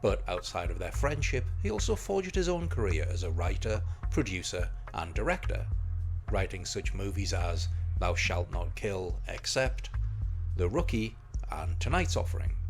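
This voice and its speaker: Background music is playing. Over it, a man talks at a moderate pace. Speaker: film reviewer. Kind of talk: film review narration.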